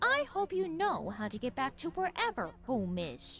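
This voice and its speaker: Someone uses a put-on character voice. Clear background noise runs behind it. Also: female-sounding voice, high pitch for a woman, moderate pace. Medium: audio drama. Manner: sarcastic, dismissive.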